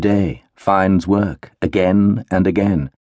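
A man speaks in a solemn tone at a fairly low pitch. The sound is dry and close, with no echo. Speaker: audiobook narrator. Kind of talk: audiobook narration, dramatic third-person reading of historical fiction. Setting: studio recording. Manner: measured, slow and hushed, tender and solemn, with expressive pauses.

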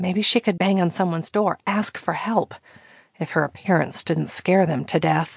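A woman talks with vocal fry and fairly even intonation at a medium pitch. The sound is dry and close with no echo, over a quiet background. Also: moderate pace. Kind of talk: dramatic audiobook narration of a romantic thriller. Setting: studio audiobook recording.

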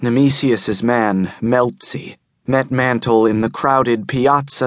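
A man speaks in a dramatic tone at a very slow pace. His pitch is medium, with ordinary pitch variation. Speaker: audiobook narrator. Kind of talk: audiobook narration of sci-fi novel, dramatic third-person prose with character dialogue. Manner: dramatic, measured, grim and suspenseful storytelling pace; shifts tone to voice characters in dialogue.

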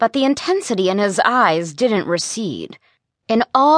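Plain reading aloud with lively intonation, set against a quiet background.

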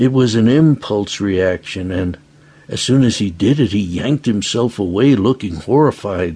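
The clip consists of plain reading aloud.

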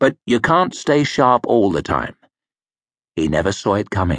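Against a quiet background, a man speaks fairly slowly with very wide swings in pitch. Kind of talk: audiobook narration of a fantasy novel. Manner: measured, gritty storytelling, shifting into gruff character voices for dialogue.

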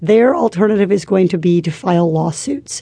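There is noticeable background noise. Over it, a woman talks with lively intonation. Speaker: law professor. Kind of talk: expert interview. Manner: measured, articulate.

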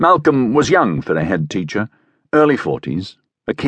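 Someone reads aloud plainly, with only quiet in the background.

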